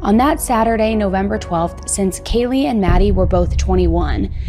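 A woman talks at a moderate pace while faint music sits in the background. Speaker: true crime narrator. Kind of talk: documentary narration. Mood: serious, somber. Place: studio. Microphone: studio mic.

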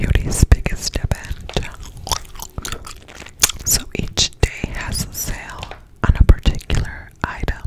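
The speaker is whispering at a very slow pace. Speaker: beauty vlogger. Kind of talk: casual vlog chat. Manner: close-up ASMR whisper. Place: home room. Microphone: phone near.

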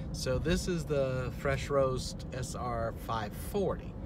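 A man speaks with loud background noise behind him. The sound is dry, with no echo. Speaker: vlogger. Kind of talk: casual vlog chat. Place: car. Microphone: phone near.

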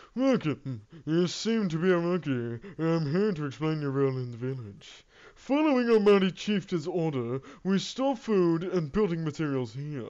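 The pace is moderate. The speaker uses a put-on character voice. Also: man, fairly high pitch for a man.

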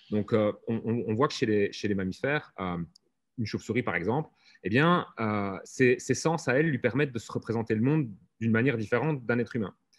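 A man at a fairly quick pace with ordinary pitch variation over a quiet background. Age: 40s. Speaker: software lead; conference speaker. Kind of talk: conference talk. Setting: video call. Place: hall.

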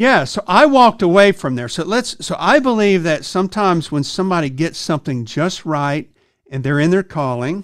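A man at a moderate pace, with very wide pitch swings, against a quiet background. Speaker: podcast host. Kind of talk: interview question and story. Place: studio. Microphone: studio mic.

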